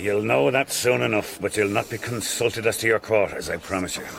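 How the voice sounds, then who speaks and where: Against clear background noise, a man does a gruff put-on character voice, fairly low in pitch, with lively intonation and a fairly quick pace. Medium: audio drama. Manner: gruff, curt.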